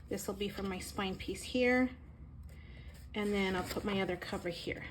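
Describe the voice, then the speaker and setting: This woman's voice is somewhat breathy and medium in pitch. She talks at a moderate pace. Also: fairly even intonation. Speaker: crafter. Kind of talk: tutorial. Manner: halting.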